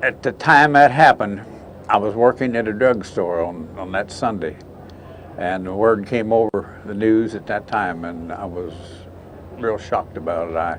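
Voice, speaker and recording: A man with a Midwestern American accent speaks at a fairly low pitch and moderate pace with ordinary pitch variation. His loudness swings widely, and background noise is noticeable. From Indiana, USA. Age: 80s+. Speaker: war veteran. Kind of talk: interview answer.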